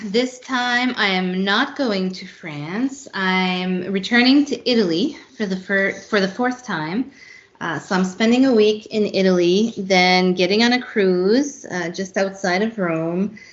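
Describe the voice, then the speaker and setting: A woman with a French accent at a medium pitch, fairly slow and with hardly any pauses, with ordinary pitch variation. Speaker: travel consultant. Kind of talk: casual podcast interview.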